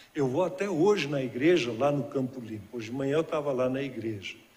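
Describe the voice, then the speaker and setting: A man's fairly high voice at a fairly quick pace, with ordinary pitch variation and audible room echo. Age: 60s. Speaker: guest preacher. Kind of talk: sermon. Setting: church.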